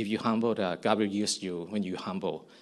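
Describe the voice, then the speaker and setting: In a Thai accent, a man speaks at a fairly low pitch. His intonation is fairly even. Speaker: missionary. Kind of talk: testimony. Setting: church service. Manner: halting.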